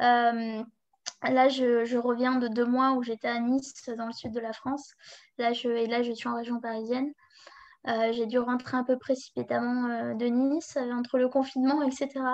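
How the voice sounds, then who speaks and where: With a high pitch and flat, monotone intonation, a woman speaks at a fairly slow pace. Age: 20s. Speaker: blogger and freelance web writer. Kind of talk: interview.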